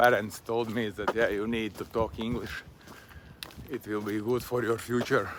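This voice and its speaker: With a Latvian accent, a man speaks at a moderate pace and medium pitch in a monotone, flat intonation. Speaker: vlogger. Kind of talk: casual monologue while walking. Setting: outdoors on a walk. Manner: halting.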